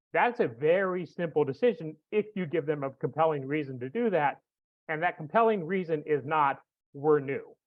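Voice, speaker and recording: A plain, everyday voice moves at a moderate speed, its pitch varying in an ordinary way. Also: man, fairly high pitch for a man. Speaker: foundation director and entrepreneur giving a talk. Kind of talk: online presentation. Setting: online webinar with chat.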